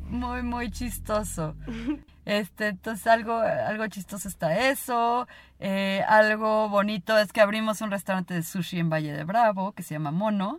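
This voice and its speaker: A woman's fairly high pitch in a Mexican accent, fairly slow pace and big swings in loudness, on a very clean recording with a silent background. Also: ordinary pitch variation. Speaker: podcast co-host. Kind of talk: casual chat.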